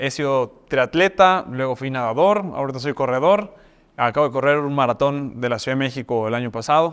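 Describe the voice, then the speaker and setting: A man at a medium pitch and moderate pace, with ordinary pitch variation, over a quiet background. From Mexico, Mexico City and Yucatán. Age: 30s. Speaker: university rector. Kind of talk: talk-style self introduction. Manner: hesitant fillers (eh).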